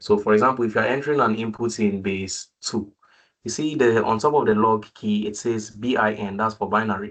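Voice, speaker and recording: Using a normal speaking voice, a man talks at medium pitch and a fairly quick pace with fairly even intonation. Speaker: student tutor leading a makeup class. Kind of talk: online tutorial session.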